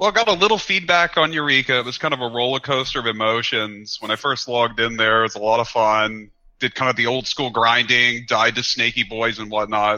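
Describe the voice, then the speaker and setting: A man with a plain, everyday voice, medium pitch, ordinary pitch variation, and a fairly quick pace with hardly any pauses. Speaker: caller. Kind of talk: casual chat. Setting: Discord call.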